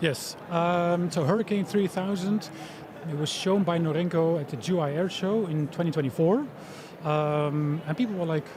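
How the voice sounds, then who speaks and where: Amid noticeable background noise, a man with a high pitch and a European accent speaks at a moderate pace with ordinary pitch variation. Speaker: tech company founder, former diplomat. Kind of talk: interview at expo. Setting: live event stage.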